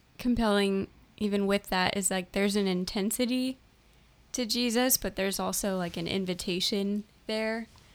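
A woman has an ordinary speaking voice, with medium pitch, a moderate pace and ordinary pitch variation. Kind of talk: casual chat.

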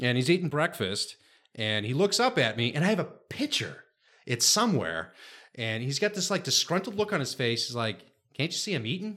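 A man with an American accent and a fairly high voice talks at a fairly quick pace with very wide pitch swings, in a very clean recording with a silent background. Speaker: guest. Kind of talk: casual chat.

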